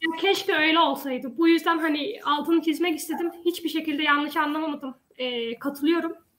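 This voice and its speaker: A woman talks at a moderate pace with an extremely high pitch and fairly even intonation. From Denmark, Odense. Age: 20s. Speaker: local election candidate. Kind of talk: panel discussion.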